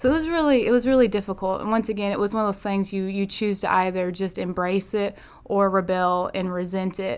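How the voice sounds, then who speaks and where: A woman speaks with an Arkansas accent and ordinary pitch variation. The recording is very clean, with a silent background. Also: medium pitch for a woman, fairly quick pace. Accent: Southern US (Arkansas). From US South, northeast Arkansas. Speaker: pastor's daughter and church minister. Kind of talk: casual chat.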